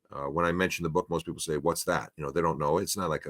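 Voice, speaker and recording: A man with an American accent and a very deep, low pitch, on a very clean recording with a silent background. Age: 50s. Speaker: former teacher, church history commentator. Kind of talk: podcast discussion.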